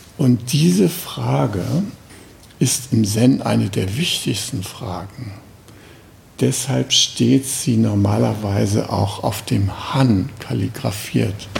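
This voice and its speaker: Very slowly, a man speaks amid noticeable background noise and audible room echo. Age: 70s. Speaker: Zen teacher. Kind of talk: dharma talk. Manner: casual, with fillers.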